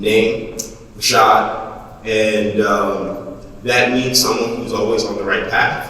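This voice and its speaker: Noticeable background noise and audible room echo around a man's voice. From New Jersey (Jersey City). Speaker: poet. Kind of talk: spoken word performance. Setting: stage with audience. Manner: halting.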